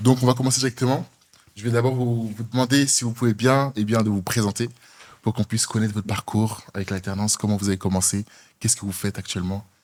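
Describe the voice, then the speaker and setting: Here a man talks at a very fast pace. His pitch is medium and his intonation fairly even. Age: 20s. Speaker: podcast host, student. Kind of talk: casual podcast chat.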